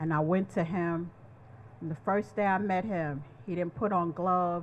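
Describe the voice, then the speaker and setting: A woman speaks at a moderate pace in an ordinary speaking voice, her pitch fairly low. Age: 60s. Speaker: HIV survivor and advocate. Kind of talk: testimony.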